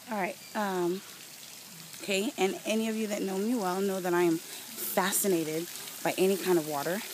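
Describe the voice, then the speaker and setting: Noticeable background noise sits behind a woman speaking at a moderate pace. Her pitch is medium, with ordinary variation. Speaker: travel vlogger. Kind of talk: walking video diary. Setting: outdoors at a resort. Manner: casual, meandering with fillers.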